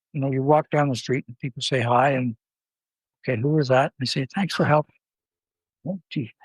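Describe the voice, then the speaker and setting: A man with a Canadian accent speaks at a fairly high pitch and fairly quick pace, somewhat breathy and with fairly even intonation, leaving long, frequent pauses in a dry, close sound with no echo. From Ontario, Canada. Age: 70s. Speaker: philanthropist. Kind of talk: interview.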